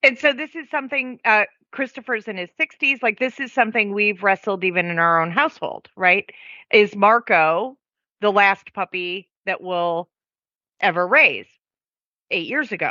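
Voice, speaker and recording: A woman talks in a normal speaking voice at medium pitch. Her pace is moderate and her intonation lively. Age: 50s. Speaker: dog trainer. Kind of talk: podcast discussion.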